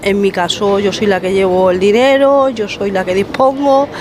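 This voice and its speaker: Over noticeable background noise, a woman speaks at a fairly slow pace in a medium pitch with ordinary pitch variation. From Spain, Madrid. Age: 50s. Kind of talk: group discussion.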